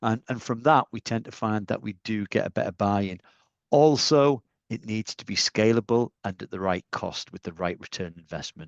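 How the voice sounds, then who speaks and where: A man with a Northeast English accent, fairly low in pitch with ordinary pitch variation at a moderate pace, in a dry, close sound with no echo and a quiet background. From Northeast England. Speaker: industry panelist. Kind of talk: webinar panel discussion.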